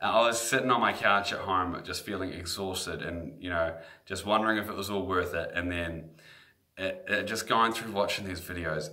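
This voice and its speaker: Audible room echo surrounds a man with a slight New Zealand accent and a very deep, low pitch. He speaks at a moderate pace in a bright, sharp tone. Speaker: guitar teacher. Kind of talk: sales pitch. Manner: animated.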